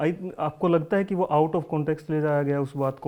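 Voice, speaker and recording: Speaking at a moderate pace, a man has a dark, mellow tone at a fairly high pitch. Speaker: interviewer. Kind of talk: interview questions.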